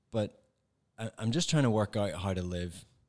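The speech moves at a moderate pace. The recording is very clean with a silent background and a dry, close sound with no echo. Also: man. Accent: Northern Irish. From Northern Ireland. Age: 40s. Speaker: former pediatrician turned ministry worker. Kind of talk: casual chat. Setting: studio.

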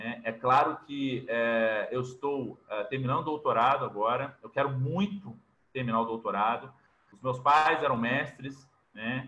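A man of medium pitch talks at a fairly slow pace with ordinary pitch variation and big swings in loudness. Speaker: physical education professor. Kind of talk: interview. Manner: animated.

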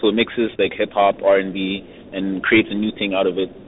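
Over noticeable background noise, a man speaks fairly quickly at a fairly low pitch. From Montreal, Canada. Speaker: hip hop rapper and producer. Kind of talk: casual interview.

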